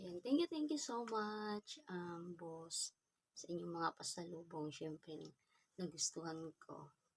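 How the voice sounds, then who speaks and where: Soft-spoken and fairly low-pitched, a woman talks at a very slow pace. The sound is dry and close, with no echo. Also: ordinary pitch variation. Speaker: vlogger. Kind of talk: unboxing vlog. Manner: casual.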